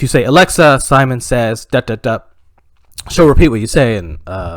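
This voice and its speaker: A man speaks at a moderate pace in a medium-pitched voice with vocal fry. His intonation is lively, and his loudness swings widely. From Canada. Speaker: stand-up comedian. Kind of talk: stand-up comedy set. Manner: hesitant, many fillers.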